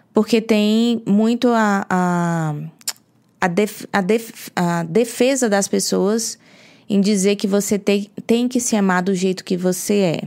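A woman's very slow delivery with fairly even intonation. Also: medium pitch for a woman, very clean recording, silent background. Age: 30s. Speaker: podcast co-host, health and weight-loss coach. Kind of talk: casual chat.

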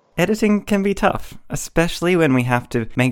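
A man speaks in an Australian accent at a moderate pace. His pitch swings very widely. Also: very clean recording, silent background. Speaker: podcast host and writer. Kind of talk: scripted intro and casual panel discussion.

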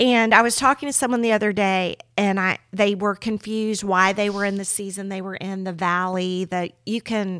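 An ordinary speaking voice: a woman with an American accent at a medium pitch and fairly even intonation. She moves at a fairly quick pace in a very clean recording with a silent background. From US South, Miami, Florida. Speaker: podcast host, pastor's wife. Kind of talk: casual chat.

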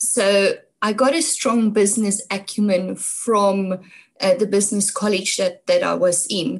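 A woman speaks at a fairly slow pace and medium pitch. Her voice is somewhat breathy, with ordinary pitch variation. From South Africa, North West (Brits). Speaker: environmental activist. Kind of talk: interview. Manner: hesitant, many fillers.

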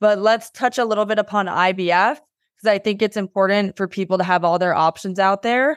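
At a fairly quick pace with hardly any pauses, a woman of medium pitch speaks with fairly even intonation and very even loudness against a quiet background. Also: dry, close sound with no echo. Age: 30s. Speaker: podcast host. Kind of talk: interview.

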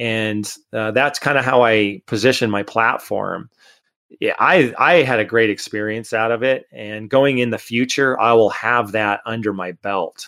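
A man with an American accent, fairly slow pace, bright and sharp tone, medium pitch, and ordinary pitch variation. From Connecticut, US. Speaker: mountain bike tour company owner. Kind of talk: casual interview.

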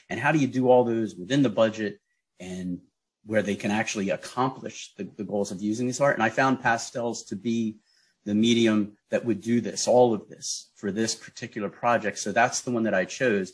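A man with a normal speaking voice at medium pitch, moderate pace and fairly even intonation, against a quiet background. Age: 50s. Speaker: teaching artist. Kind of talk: radio interview.

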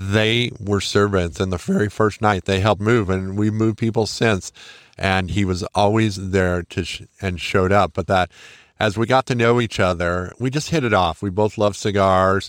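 On a very clean recording with a silent background, a man speaks with a normal speaking voice at a fairly low pitch. The sound is dry and close with no echo, and his moderate pace comes with fairly even intonation. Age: 50s. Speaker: podcast host. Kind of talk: personal tribute monologue.

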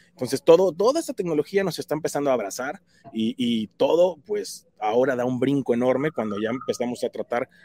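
The delivery is fairly quick. There's no echo, and the sound stays dry and close. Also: man. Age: 40s. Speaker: tech speaker for realtors. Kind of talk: tutorial.

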